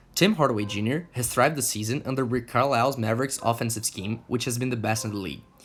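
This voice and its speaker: A man in a Portuguese accent speaks at a very fast pace with hardly any pauses, using medium pitch and ordinary pitch variation. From Brazil. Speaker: sports YouTuber. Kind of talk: scripted narration.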